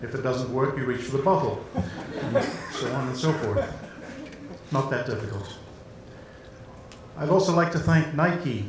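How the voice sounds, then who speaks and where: With noticeable background noise and audible room echo, a man of medium pitch speaks at a moderate pace with lively intonation and long, frequent pauses. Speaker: sports journalist. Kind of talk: award acceptance speech. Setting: stage with audience.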